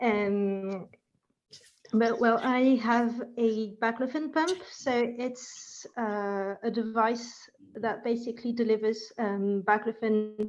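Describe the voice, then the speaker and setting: Speaking at a very slow pace, a woman holds a fairly high pitch with fairly even intonation. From France. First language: French. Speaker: participant. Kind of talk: online group discussion.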